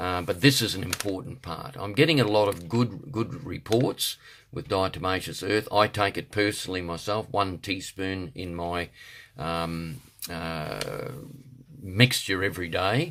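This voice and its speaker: On a very clean recording with a silent background, a man with an Australian accent and a very deep, low pitch speaks at a fairly slow pace. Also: ordinary pitch variation. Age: 60s. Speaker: health product seller and martial arts instructor. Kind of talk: product promotion monologue. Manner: halting, many fillers.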